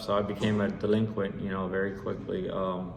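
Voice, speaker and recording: Monotone, flat intonation at a moderate pace, with audible room echo. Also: man. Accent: American. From San Jose, California. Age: 40s. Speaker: recovering addict sharing his story. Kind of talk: personal testimony. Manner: halting, many fillers and repeats.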